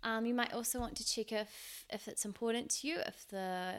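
A woman with a New Zealand accent talks at a fairly quick pace. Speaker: podcast host. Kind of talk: casual solo podcast talk. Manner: casual, with frequent fillers; laughs now and then.

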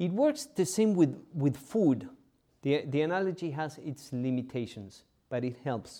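A man with fairly high pitch, a dark, mellow tone, lively intonation and a fairly slow pace. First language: not English. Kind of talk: homily. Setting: church. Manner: halting.

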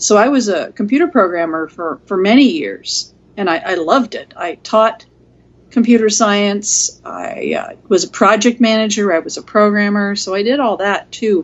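Lively intonation marks a woman's ordinary speaking voice at a medium pitch. She talks at a moderate pace. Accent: American. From US Pacific Northwest, Seattle. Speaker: mediator. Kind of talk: interview. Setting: call.

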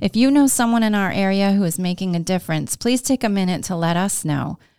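At a fairly quick pace, a woman in a normal speaking voice with an American accent talks at a medium pitch with ordinary pitch variation. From Glens Falls, New York. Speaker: podcast host and co-working space owner. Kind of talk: casual interview chat.

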